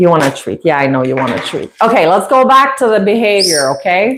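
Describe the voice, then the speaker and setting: A woman speaks in a French Canadian accent. Her pitch swings very widely. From Quebec, Canada. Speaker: parrot owner and YouTuber. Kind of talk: casual livestream chat. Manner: halting, many fillers.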